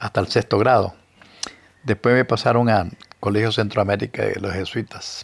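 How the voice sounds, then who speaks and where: A man with a Nicaraguan accent talks at a moderate pace in a fairly low pitch. His intonation stays fairly even, broken by long, frequent pauses. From Nicaragua, Matagalpa (northern Nicaragua). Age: 80s+. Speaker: historian and writer. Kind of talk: interview, life story.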